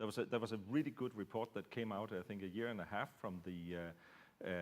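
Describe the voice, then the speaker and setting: Speaking at a very fast pace, a man with a Danish accent has a fairly low pitch. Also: ordinary pitch variation. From Denmark. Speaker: security researcher. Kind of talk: panel discussion. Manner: halting, many fillers.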